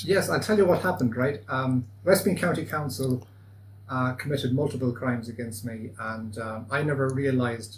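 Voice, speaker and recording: A man with a west of Ireland accent speaks at a medium pitch. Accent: west of Ireland Irish. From Achill Island, Ireland. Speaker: citizen lawyer. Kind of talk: interview answer.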